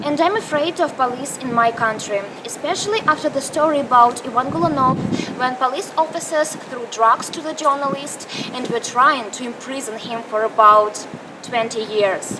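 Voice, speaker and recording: In a Russian accent, a woman projects her raised, high-pitched voice at a moderate pace with lively intonation. Background noise is noticeable. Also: big swings in loudness. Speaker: student journalist. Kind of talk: scripted narration.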